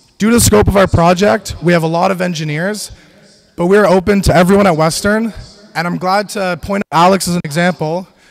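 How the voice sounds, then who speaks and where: Over noticeable background noise, a high-pitched man speaks at a fairly quick pace with fairly even intonation. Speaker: student team lead presenter. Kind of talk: presentation. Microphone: echoey microphone.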